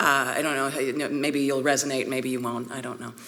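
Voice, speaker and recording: A woman speaks with a Vancouver accent at a very deep, low pitch. The audio has audible room echo and noticeable background noise. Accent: Canadian, Vancouver. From Canada, Vancouver, British Columbia. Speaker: priest and art historian. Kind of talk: conference talk. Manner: conversational, with fillers.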